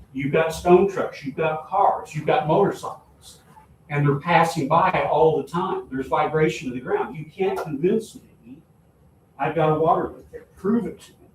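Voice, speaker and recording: Noticeable background noise accompanies a man with a fairly high pitch who speaks at a moderate pace, with ordinary pitch variation and big swings in loudness. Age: 70s. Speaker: town official. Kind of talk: public meeting talk. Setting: town meeting. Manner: animated.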